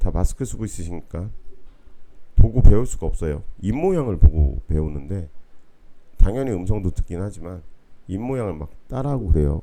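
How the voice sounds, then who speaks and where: A dark, mellow tone with lively intonation. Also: man. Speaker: university lecturer. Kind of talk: online lecture. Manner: casual, conversational.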